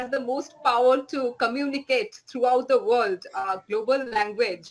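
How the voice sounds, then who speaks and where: A woman's bright, sharp tone in a Bengali accent. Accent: Indian English, Bengali. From West Bengal, India. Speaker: writer. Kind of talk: interview. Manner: halting.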